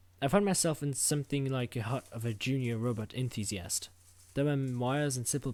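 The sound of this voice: It is an unforced reading voice.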